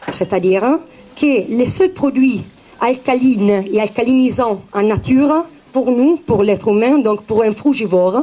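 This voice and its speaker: Speaking in an Italian accent at a fairly slow pace, the voice has lively intonation and very even loudness. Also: woman, fairly high pitch for a woman. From Italy. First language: Italian (speaking French). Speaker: naturopath. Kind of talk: talk to public. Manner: halting, many hesitations.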